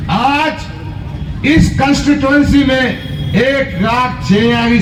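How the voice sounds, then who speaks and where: Against noticeable background noise and audible room echo, a man talks at an extremely high pitch with ordinary pitch variation. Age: 60s. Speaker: politician. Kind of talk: political rally speech.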